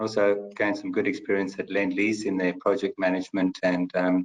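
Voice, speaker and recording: Speaking with a South African accent, a man has a fairly low pitch. His pace is very fast. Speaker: company finance chief. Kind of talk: webinar panel discussion. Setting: online webinar.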